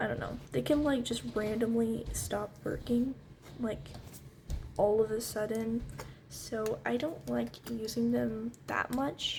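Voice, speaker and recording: Music plays in the background as a woman talks very slowly. She is soft-spoken. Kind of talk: ASMR tutorial. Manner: casual, hesitant.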